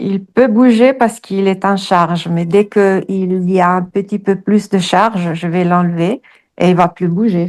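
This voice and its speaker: Using a medium pitch, a woman talks at a fairly slow pace. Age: 60s. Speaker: hypnosis client. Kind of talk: personal testimony. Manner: halting, many hesitations.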